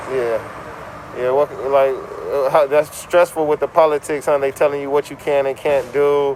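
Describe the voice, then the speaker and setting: A man with an American accent speaks at a moderate pace in a fairly high pitch, his intonation monotone and flat, over noticeable background noise. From Los Angeles. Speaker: street interviewer. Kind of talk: street interview.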